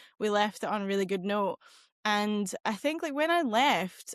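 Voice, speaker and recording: Against a quiet background, a woman with a west of Scotland accent speaks in a fairly high voice with lively intonation. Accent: west of Scotland Scottish. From west coast of Scotland. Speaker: marketing executive and entrepreneur. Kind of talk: podcast interview.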